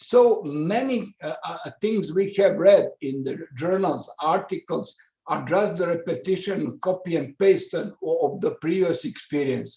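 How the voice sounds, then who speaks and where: A man with a Serbo-Croatian accent and a high, dark, mellow voice at a fairly slow pace with ordinary pitch variation. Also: hardly any pauses. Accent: Balkan (Serbo-Croatian) English. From Balkans (Croatia/Serbia/Montenegro). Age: 60s. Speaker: professor. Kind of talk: webinar remarks. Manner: halting, many fillers.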